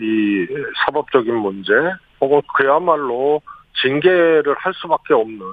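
A man with a plain, everyday voice talks at a fairly slow pace, using medium pitch and lively intonation. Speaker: former senior presidential aide. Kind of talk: radio interview. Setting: phone call. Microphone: phone line.

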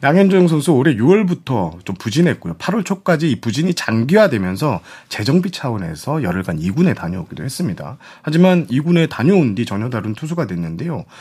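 This man has a medium-pitched voice with vocal fry and a dark, mellow tone. His pitch swings very widely as he talks at a fairly quick pace. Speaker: sports journalist. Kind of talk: panel discussion on baseball.

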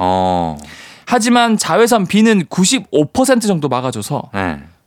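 There is a man talking. His pitch makes very wide swings. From South Gyeongsang, Changnyeong. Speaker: science communicator. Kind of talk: radio science segment. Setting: radio studio.

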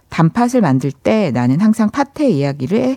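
A soft-spoken, dark and mellow voice with very wide pitch swings, a fairly slow pace, and a dry, close sound with no echo. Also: woman. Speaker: film journalist. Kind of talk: film talk segment. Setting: studio. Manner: soft-spoken, gentle.

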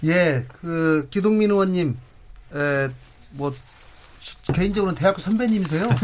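A man with a high pitch at a fairly slow pace, with long, frequent pauses. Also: ordinary pitch variation. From South Korea, North Jeolla. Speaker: politician, member of parliament. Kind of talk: political debate.

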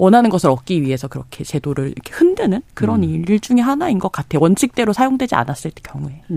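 Delivered at a very fast pace, the speech has hardly any pauses. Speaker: magazine journalist. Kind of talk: radio panel discussion. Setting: radio studio.

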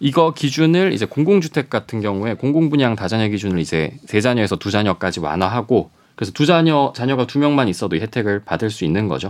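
Over a quiet background, a man talks at a very fast pace with hardly any pauses. His medium-pitched voice swings very widely in pitch. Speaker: news reporter. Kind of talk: news discussion.

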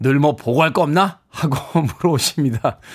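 A man's ordinary speaking voice at a moderate pace, with ordinary pitch variation. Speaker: radio DJ. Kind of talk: morning radio show. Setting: radio studio.

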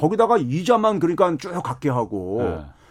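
This recording is very clean, with a silent background. The voice belongs to a man. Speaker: economics professor. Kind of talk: casual chat.

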